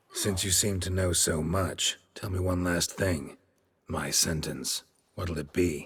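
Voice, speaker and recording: A put-on character voice in a deadpan tone at a fairly slow pace. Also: man, very deep, low pitch for a man. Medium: video game. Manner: terse, gruff, deadpan.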